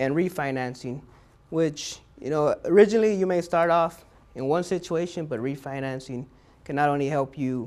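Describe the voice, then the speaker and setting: Fairly high pitch from a man, with ordinary pitch variation. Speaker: small business advisor for veterans. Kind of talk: lecture. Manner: fast.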